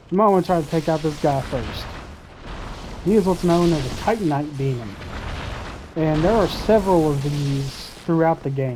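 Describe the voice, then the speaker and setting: The speaker has a strong Southern US accent and an animated tone. Long, frequent pauses come through amid noticeable background noise. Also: moderate pace. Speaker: gaming YouTuber. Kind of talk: let's play commentary. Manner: casual, animated. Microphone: cheap headset.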